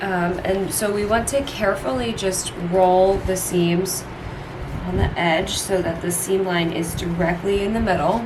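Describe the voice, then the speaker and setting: A woman of medium pitch speaks at a fairly slow pace with fairly even intonation. Audible room echo and noticeable background noise fill the recording. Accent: American. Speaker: sewing instructor. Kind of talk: tutorial. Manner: casual, conversational.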